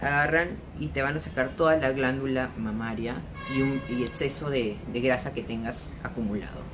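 Noticeable background noise sits behind a man speaking at a moderate pace with ordinary pitch variation. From Peru, Lima. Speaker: vlogger. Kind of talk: casual vlog monologue. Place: home room. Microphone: phone near.

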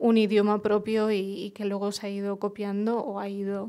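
A woman speaks at a fairly slow pace in a medium pitch. Her intonation is flat and monotone against a quiet background. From Murcia, Spain; Spain. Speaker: journalist and writer; journalist. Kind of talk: panel discussion. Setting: bookshop event with audience. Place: shop. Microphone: headset.

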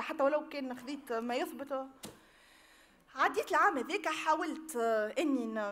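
The speech goes at a moderate pace. Its pitch variation is ordinary. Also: woman. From Tunisia, Tunis area. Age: 30s. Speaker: victim giving testimony; witness. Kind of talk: public testimony. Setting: public hearing with audience. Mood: earnest, emotional recollection. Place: hall. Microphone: podium.

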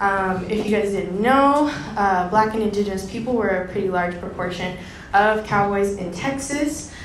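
There is audible room echo and noticeable background noise. A woman of medium pitch speaks at a moderate pace with ordinary pitch variation. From Dominican Republic. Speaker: presenter. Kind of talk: lecture.

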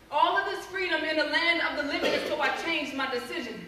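A woman speaks in a raised, projected voice with an animated, intense tone at a fairly quick pace, with ordinary pitch variation, light background noise and audible room echo. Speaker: spoken word poet. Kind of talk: spoken word poetry performance. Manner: intense, impassioned, urgent; animated, rhythmic, building to a plea. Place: hall. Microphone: camera far.

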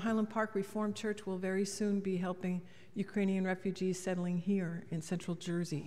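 Over music in the background, a woman speaks with fairly even intonation. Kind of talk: church announcements. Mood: warm, friendly. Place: church. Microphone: podium.

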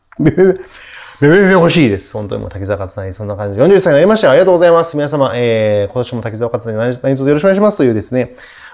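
A man at a very fast pace, animated in tone with very wide pitch swings, over a quiet background. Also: medium pitch for a man. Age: 40s. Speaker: musician and video creator; video creator. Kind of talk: casual chat. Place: home room. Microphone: lapel.

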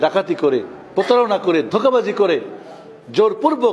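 The tone is animated, with very wide pitch swings. Light background noise can be heard. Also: man. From Bangladesh. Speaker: imam. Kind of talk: sermon. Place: church. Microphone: podium.

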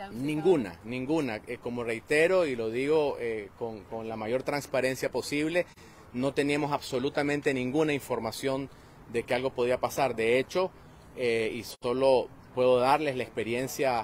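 Speaking at a fairly slow pace with ordinary pitch variation, a man is recorded with a dry sound with no echo and light background noise. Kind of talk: interview answer. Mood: serious, measured. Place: street. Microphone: phone near.

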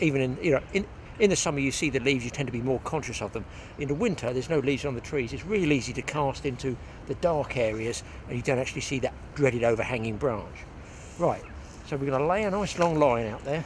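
Over light background noise, a man talks at a very fast pace with ordinary pitch variation in a dry sound with no echo. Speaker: fly fishing instructor. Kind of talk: tutorial. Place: waterside. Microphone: phone near.

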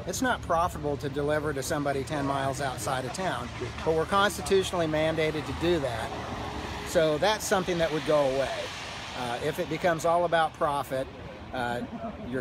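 A man talks at a fairly quick pace with ordinary pitch variation. The sound is dry with no echo, but background noise is noticeable. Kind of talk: interview answer. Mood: earnest, explanatory. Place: street. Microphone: phone near.

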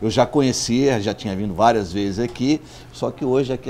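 A man keeps his intonation fairly even while music plays in the background. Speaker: magazine host interviewer. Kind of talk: interview introduction and questions. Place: cafe. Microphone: lapel.

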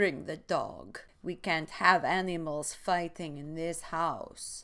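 Someone does a put-on character voice in a Russian accent at a middle pitch and fairly slow pace, on a very clean recording with a silent background. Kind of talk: comedic reading of a book aloud. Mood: playful, deadpan.

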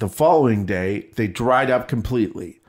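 In an American accent, a man with a plain, everyday voice speaks at a fairly slow pace. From US Midwest. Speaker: podcast co-host. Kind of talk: casual chat.

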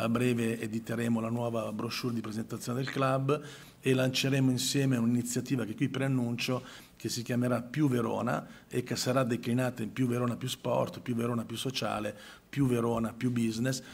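This man talks at a fairly quick pace in a flat, monotone way. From northern Italy, Milan; northern Italy. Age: 50s. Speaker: sports marketing manager. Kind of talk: press conference speech. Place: hall. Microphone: handheld.

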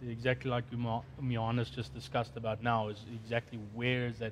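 There is light background noise. Over it, a man speaks in a somewhat breathy voice. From South Africa. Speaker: conference host. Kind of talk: panel discussion moderation. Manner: halting. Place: studio.

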